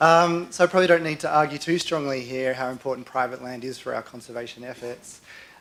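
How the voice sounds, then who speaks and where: A man with an Australian accent at a medium pitch, racing along very fast with hardly any pauses, ordinary pitch variation and big swings in loudness. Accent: Australian, noticeable to audience. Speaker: conservation researcher. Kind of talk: conference talk. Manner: hesitant, many fillers.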